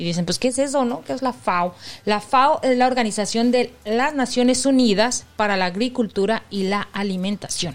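In a plain, everyday voice, a woman speaks at a moderate pace with a fairly high pitch, ordinary pitch variation, and hardly any pauses. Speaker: podcast co-host. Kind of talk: casual chat.

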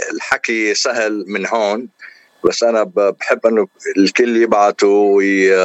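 Speaking at a fairly slow pace, a man uses a monotone, flat intonation at a fairly low pitch. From Lebanon. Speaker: engineer and singer. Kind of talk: radio interview.

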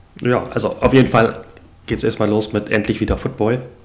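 An unremarkable speaking voice comes at a fairly quick pace. Its pitch varies in an ordinary way. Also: man. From northern Germany, Hamburg. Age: 40s. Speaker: new podcast co-host, football fan. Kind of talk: casual chat.

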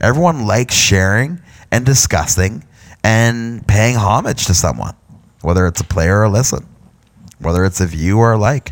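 A man with an Ontario accent and a fairly low pitch speaks at a moderate pace with lively intonation, very even loudness, and long, frequent pauses. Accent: Canadian (Ontario). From Canada, London, Ontario. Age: 30s. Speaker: podcast host, hobby photographer. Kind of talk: personal monologue, life story. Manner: casual, halting with fillers.

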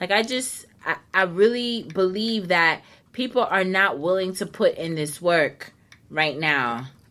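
A woman speaks at a fairly slow pace and a medium pitch with lively intonation. Her tone is animated, bright, and sharp. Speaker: radio host. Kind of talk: casual chat. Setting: studio.

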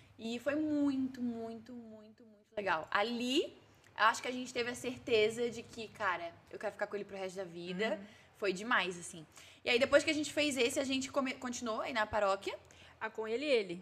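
Her fairly high voice shows ordinary pitch variation and big swings in loudness as the woman talks at a fairly quick pace. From southern Brazil. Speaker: social media comedian. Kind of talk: casual chat. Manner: cheerful.

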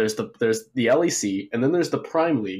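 With lively intonation, a man of medium pitch speaks in a plain, everyday voice. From Texas, Dallas. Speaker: esports coach, caller. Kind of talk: call-in opinion.

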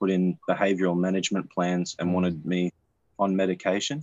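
Speaking at a fairly quick pace, a man with an Australian accent has a very deep, low pitch. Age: 20s. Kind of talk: casual chat.

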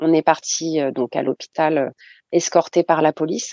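A woman's very deep, low pitch with a dark, mellow tone, fairly even intonation and a fairly slow pace, in a dry, close sound with no echo. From mainland France, Réunion-born. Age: 40s. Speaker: mother sharing her story. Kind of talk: testimony.

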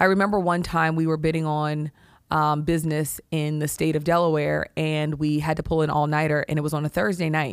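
A woman speaks at a fairly quick pace with a very deep, low pitch. Her intonation is monotone and flat, and her loudness is very even. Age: 40s. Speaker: healthcare executive. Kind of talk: interview.

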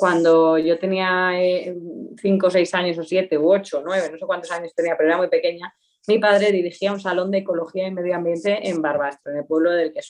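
A woman speaks with hardly any pauses, her pitch fairly low. Her intonation stays monotone and flat. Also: moderate pace. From Aragon, Spain (Pyrenees, Huesca). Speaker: journalist. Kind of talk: casual interview chat. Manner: cheerful, laughing.

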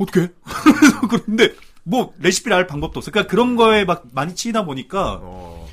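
Speaking at a fairly quick pace, a man uses a high voice with lively intonation. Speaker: voice actor. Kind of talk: casual chat.

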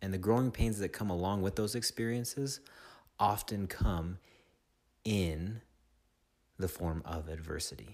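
On a very clean recording with a silent background, a man speaks in a gentle, soothing tone at a fairly low pitch with ordinary variation. He keeps a fairly slow pace with long, frequent pauses. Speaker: meditation guide. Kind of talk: guided meditation. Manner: slow, soothing, calm instructional pacing with long pauses; gentle, directive, second-person coaching.

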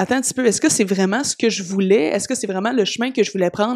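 With a fairly high pitch, a woman talks using ordinary pitch variation. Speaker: personal development podcaster. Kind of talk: solo podcast monologue.

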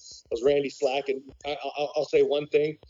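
This is an unremarkable speaking voice. It moves at a moderate pace with fairly even intonation. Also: man. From Canada. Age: 40s. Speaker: military veteran, tool dealer. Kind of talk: interview conversation.

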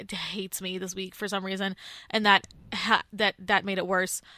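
The woman's tone is bright and sharp, her pitch medium and her pace moderate. The sound is dry and close with no echo, on a very clean recording with a silent background. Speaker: college radio host. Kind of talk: casual chat. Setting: studio.

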